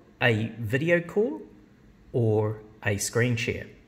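A man speaks with lively intonation and a somewhat breathy sound. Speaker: software demonstrator. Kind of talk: tutorial. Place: office. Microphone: phone near.

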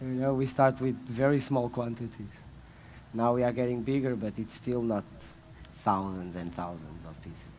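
With a Portuguese accent, a man speaks with ordinary pitch variation and big swings in loudness over light background noise. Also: moderate pace. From Portugal. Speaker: fashion label founder; speaker. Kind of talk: panel discussion. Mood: relaxed, joking. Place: stage. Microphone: headset.

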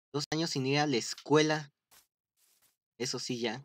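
A man is speaking here. His pitch is fairly high, and his intonation fairly even. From Mexico, Estado de México. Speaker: gaming streamer. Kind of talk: casual gameplay livestream chat. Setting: livestream with friend on voice chat.

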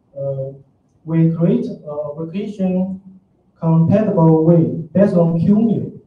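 A man at a very slow pace, with a high pitch, a dark, mellow tone, ordinary pitch variation, light background noise and audible room echo. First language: Chinese. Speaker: open source developer; conference presenter. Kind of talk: conference talk. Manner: hesitant, many fillers. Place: hall.

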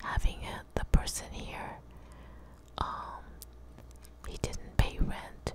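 A soft-spoken woman whispers, the sound dry with no echo and the background noise noticeable. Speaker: ASMR content creator. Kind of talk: soft whispered personal talk. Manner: close, soft whisper into microphone. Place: home room. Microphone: studio mic.

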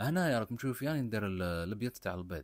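A man's fairly quick, lively-toned speech, dry and close with no echo, on a very clean recording with a silent background. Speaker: cooking channel host. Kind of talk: cooking tutorial. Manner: casual, conversational.

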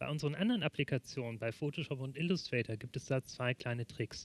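Fairly quick speech from a man comes through in a dry sound with no echo. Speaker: presenter. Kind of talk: tutorial. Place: studio. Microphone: headset.

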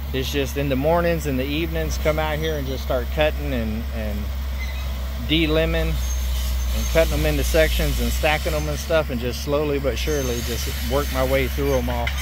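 A man with a very deep, low pitch speaks at a moderate pace in a monotone, flat way, with long, frequent pauses, a dry sound with no echo, and noticeable background noise. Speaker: homesteader vlogger. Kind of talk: casual vlog chat. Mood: relaxed, plain-spoken. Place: forest. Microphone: phone near.

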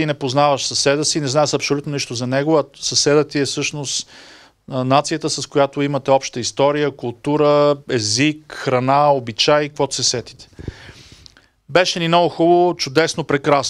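A man with a fairly high pitch speaks at a moderate pace with fairly even intonation over a quiet background. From Bulgaria. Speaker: EU official, media development expert; guest. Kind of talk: talk to an audience. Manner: hesitant, many filler sounds. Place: meeting room. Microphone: handheld.

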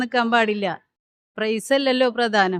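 This is a woman speaking. Her intonation is fairly even. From Kerala, Thrissur. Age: 50s. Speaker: mehndi competition participant. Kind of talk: news interview.

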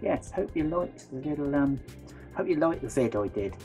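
A man speaks in a West Country accent at a moderate pace. Clear music plays in the background. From West Country, England. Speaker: vlogger. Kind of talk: casual vlog talk to camera. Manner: hesitant, many fillers. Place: home room. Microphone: phone near.

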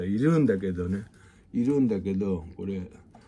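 A man speaks at a moderate pace in a dark, mellow tone with lively intonation. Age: 50s. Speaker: music teacher. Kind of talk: casual monologue and music tutorial. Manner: casual, rambling with many fillers. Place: home room. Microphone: phone near.

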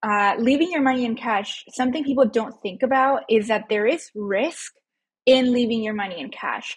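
A quiet background surrounds this speech. Its pace is moderate, and its pitch varies in an ordinary way. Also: woman. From Mexico, moved to US as a child. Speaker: financial educator. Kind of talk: casual interview chat. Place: home room. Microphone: earbuds.

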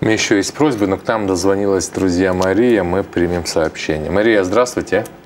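A man with a fairly low pitch talks at a fairly quick pace and ordinary pitch variation over light background noise. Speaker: TV prayer program co-host; TV prayer program host. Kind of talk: live religious broadcast, reading prayer requests. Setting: TV studio, live broadcast. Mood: calm, earnest, prayerful. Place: studio. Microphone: lapel.

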